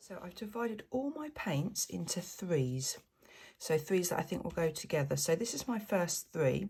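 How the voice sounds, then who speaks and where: Quiet and somewhat breathy, a woman's fairly low voice has a dark, mellow tone and very wide pitch swings as she talks at a moderate pace. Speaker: fluid art painter. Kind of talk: tutorial. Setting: at home. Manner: hesitant, many fillers.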